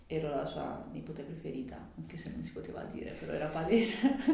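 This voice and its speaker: Noticeable background noise and audible room echo both surround a woman as she talks. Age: 30s. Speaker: interviewee, local community member. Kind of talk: interview.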